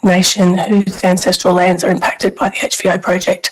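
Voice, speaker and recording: In an Australian accent, the speech comes at a fairly quick speed. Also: woman. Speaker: member of the public speaking at a hearing. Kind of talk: public hearing submission. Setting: video call. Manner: loud whisper.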